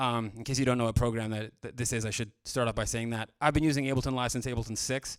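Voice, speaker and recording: A man with a Canadian accent speaks at a medium pitch in a monotone, flat intonation. The recording is very clean, with a silent background. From Canada, Vancouver. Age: 30s. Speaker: music producer. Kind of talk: live stream tutorial. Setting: studio. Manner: casual, filler-heavy.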